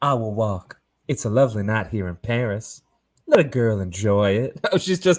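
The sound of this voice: An unforced reading voice shows ordinary pitch variation against a quiet background.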